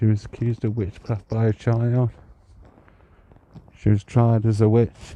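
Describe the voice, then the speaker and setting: Quiet and close, a man speaks at a fairly slow pace with long, frequent pauses, a medium pitch, a dark, mellow tone and monotone, flat intonation in a dry sound with no echo. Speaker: psychic medium and ghost walk guide. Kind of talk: live-streamed ghost walk narration. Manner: hushed, kept quiet.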